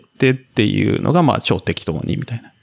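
Fairly quick and full of lively intonation, this man's medium-pitched voice carries vocal fry. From Japan, Kamakura, Kanagawa. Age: 40s. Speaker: ultramarathon runner and office worker posted abroad. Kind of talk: casual interview chat.

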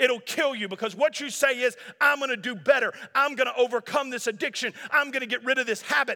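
A man with an extremely high pitch speaks fairly quickly in a raised, projected voice, his tone bright, sharp and animated, with ordinary pitch variation. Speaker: pastor. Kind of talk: sermon. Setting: church.

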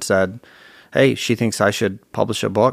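With an American accent, a man with an unremarkable speaking voice talks at a fairly quick pace and a fairly low pitch. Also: very clean recording, silent background. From Virginia, US. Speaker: author and speaker. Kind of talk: interview.

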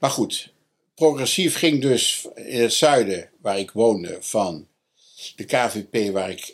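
A man talks at a very slow pace. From North Brabant, Netherlands. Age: 70s. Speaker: historian and education expert. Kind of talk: interview. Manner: halting.

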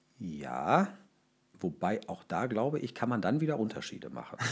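Very wide pitch swings and vocal fry run through this man's speech. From Ruhr area, Germany. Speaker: local government official for fire and rescue services. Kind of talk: interview.

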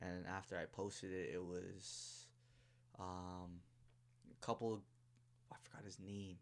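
Fairly slow speech with a Toronto accent, monotone, flat intonation and long, frequent pauses. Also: man, very deep, low pitch for a man. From Toronto, Canada (Scarborough). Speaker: DJ. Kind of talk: casual chat.

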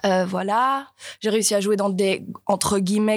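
With fairly even intonation and medium pitch, a woman speaks in an ordinary speaking voice. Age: 20s. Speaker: young stage actor. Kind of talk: panel discussion. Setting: live recording before an audience.

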